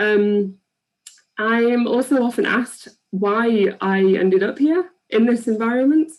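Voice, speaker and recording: With an English accent, a woman speaks at a fairly slow pace and very even loudness. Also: fairly high pitch for a woman, ordinary pitch variation. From England. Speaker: PhD researcher. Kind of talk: public science talk. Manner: hesitant with many ums.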